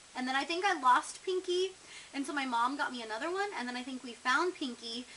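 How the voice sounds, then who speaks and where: A woman's raised, projected high voice, fairly quick in pace, with lively intonation. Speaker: vlogger. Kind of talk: casual vlog, tag questions. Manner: chatty, with filler words.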